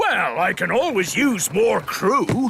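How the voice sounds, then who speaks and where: In a cartoonish character voice, a man speaks at a fairly slow pace with an extremely high pitch. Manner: hearty, blustering.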